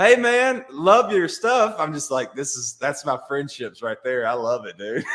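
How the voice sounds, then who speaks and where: A man with a strong Alabama accent, very wide pitch swings and big swings in loudness. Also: fairly high pitch for a man, hardly any pauses. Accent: thick Alabama Southern. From Alabama (Brookwood, near Tuscaloosa). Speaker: comedian. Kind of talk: casual interview chat. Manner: animated, many fillers.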